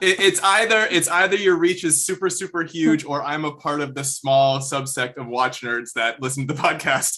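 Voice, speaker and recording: A man's fairly high voice at a moderate pace with hardly any pauses, ordinary pitch variation and noticeable background noise. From Vancouver, Canada. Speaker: music video director. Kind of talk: interview.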